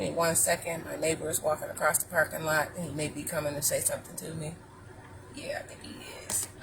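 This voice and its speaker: Over noticeable background noise, a woman with an American accent talks at a very fast pace, with big swings in loudness. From Ohio. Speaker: vlogger. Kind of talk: casual chat. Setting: in a car.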